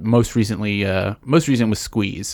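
A man with a fairly low pitch speaks at a fairly slow pace, with fairly even intonation, in a normal speaking voice. The recording is very clean, with a silent background. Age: 30s. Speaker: podcast producer. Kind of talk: casual chat. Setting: small room with air vent covered.

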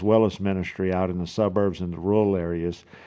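The speaker talks at a fairly quick pace in a South Louisiana accent. The intonation stays fairly even. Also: man. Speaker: podcast host. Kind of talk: solo podcast monologue. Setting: home office. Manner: halting, many fillers.

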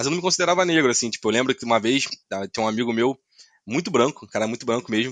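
The background is quiet. The sound is dry and close with no echo. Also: man. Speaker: podcaster. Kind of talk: casual discussion.

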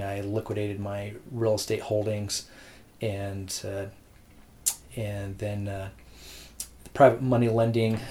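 A man's fairly low, dark, mellow voice, somewhat breathy, moves at a fairly slow pace with monotone, flat intonation. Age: 40s. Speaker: real estate agent. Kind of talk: interview.

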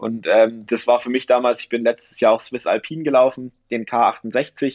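A man speaks at a medium pitch in an unremarkable speaking voice. His intonation stays fairly even. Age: 30s. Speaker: ultrarunner and shoe-brand representative. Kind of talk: casual chat.

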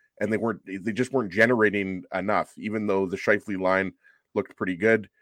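An unremarkable speaking voice from a man, fairly low in pitch with fairly even intonation, moves at a fairly quick pace in a dry, close sound with no echo and a quiet background. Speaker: hockey pundit. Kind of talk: casual chat. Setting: video call.

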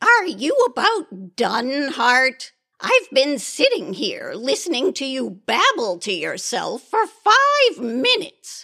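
The woman's high voice moves at a fairly slow pace. Very wide swings run through her pitch. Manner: brisk, impatient, tart.

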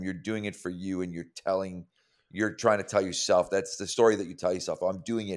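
On a very clean recording with a silent background, a man talks in a plain, everyday voice with an American accent. His pace is fairly quick, his pitch fairly low, and his intonation fairly even. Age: 60s. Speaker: strength and conditioning coach. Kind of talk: interview conversation.

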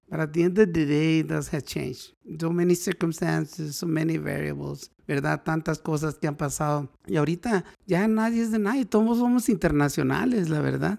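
In a very clean recording with a silent background, a man with a fairly high pitch and a normal speaking voice talks at a moderate pace with lively intonation. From northern Mexico, Mexicali. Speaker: pediatric doctor. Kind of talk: casual interview.

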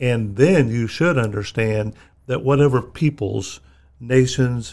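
In a very clean recording with a silent background, a man with an American accent speaks at a fairly slow pace in a plain, everyday voice at medium pitch. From Missouri, US. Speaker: former state politician. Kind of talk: casual interview.

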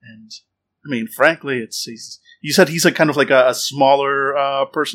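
With an American accent, a man speaks at a fairly high pitch and a moderate pace in a very clean recording with a silent background. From United States. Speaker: podcast co-host and role-play player. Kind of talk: casual tabletop role-play. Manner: animated.

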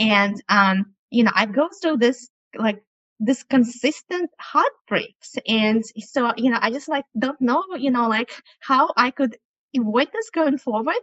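A woman with a high voice talks at a fairly slow pace with ordinary pitch variation. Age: 40s. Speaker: coaching client. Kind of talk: coaching call. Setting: video call. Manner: halting, many fillers.

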